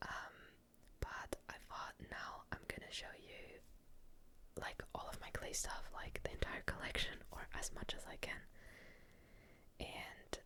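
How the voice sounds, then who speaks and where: Someone is whispering. The pace is moderate. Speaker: ASMR creator. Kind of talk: whispered ASMR commentary. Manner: whispered.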